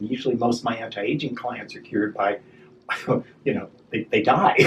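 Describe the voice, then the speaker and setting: A somewhat breathy man at a fairly quick pace. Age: 60s. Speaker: esthetician and spa business owner. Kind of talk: interview conversation. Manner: halting, frequent repetitions.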